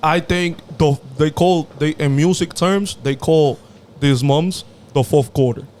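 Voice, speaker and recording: Speaking very slowly with a strong Dominican accent, a man uses a fairly high pitch, fairly even intonation and very even loudness. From Dominican Republic. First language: Spanish. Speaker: podcast co-host. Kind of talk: casual chat.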